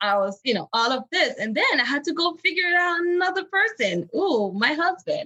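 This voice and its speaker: In a West African French accent, a woman speaks in a raised, projected voice at an extremely high pitch. Her tone is bright and sharp, her pitch swings very widely, and her pace is moderate. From Benin, West Africa. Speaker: empowerment coach. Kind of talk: interview.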